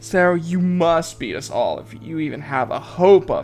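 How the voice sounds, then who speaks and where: Someone uses a put-on character voice at a moderate pace while clear music plays in the background. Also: man, high pitch for a man. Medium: read story. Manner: taunting, superior.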